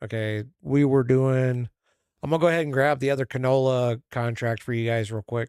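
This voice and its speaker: At a moderate pace and a medium pitch, a man talks with fairly even intonation in a dry, close sound with no echo. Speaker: gaming streamer. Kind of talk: casual chat. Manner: gets quieter when forgetting audience.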